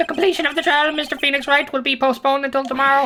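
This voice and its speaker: This put-on character voice sits at a high pitch. The delivery is very fast. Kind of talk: comic overacting. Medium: actual play.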